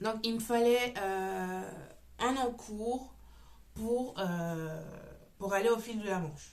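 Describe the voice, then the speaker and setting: Very slow speech from a woman with a fairly high voice and ordinary pitch variation, broken by long, frequent pauses amid audible room echo. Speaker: knitting podcaster. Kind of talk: casual chat. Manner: loud; hesitant, many fillers.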